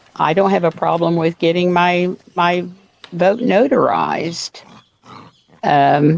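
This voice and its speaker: At a very slow pace full of long, frequent pauses, a woman with an American accent speaks with very even loudness. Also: fairly low pitch for a woman, ordinary pitch variation. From Oklahoma, Tulsa. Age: 70s. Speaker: voter interviewee. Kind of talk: interview. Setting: video call on back porch.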